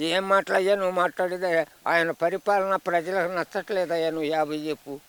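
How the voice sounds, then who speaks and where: A man's raised, projected voice, animated and bright with a sharp tone, dry and close with no echo. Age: 80s+. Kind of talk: street interview answer. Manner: animated, scornful.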